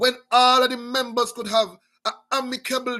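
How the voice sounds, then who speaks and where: At a moderate pace, a man projects a raised voice with a bright, sharp tone and an extremely high pitch. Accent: American. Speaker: talk show host. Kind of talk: political commentary monologue. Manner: animated; repetitive halting fillers.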